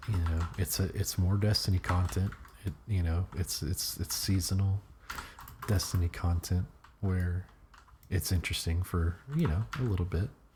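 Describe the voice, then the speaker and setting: Soft-spoken and very deep in pitch, a man talks at a moderate pace with ordinary pitch variation over noticeable background noise. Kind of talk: casual talk to camera.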